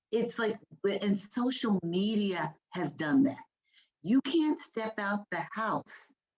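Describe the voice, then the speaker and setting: Music plays in the background as a woman speaks in an animated tone. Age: 50s. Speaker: panelist. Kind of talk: panel discussion.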